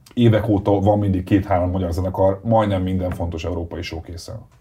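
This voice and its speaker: A somewhat breathy, dark and mellow tone at a very fast pace, with fairly even intonation. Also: man. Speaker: podcast host. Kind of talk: casual interview.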